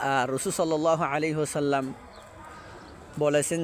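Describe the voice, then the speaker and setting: Noticeable background noise sits behind a man whose fairly high voice carries fairly even intonation. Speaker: imam leading taraweeh prayers. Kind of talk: casual religious talk to camera.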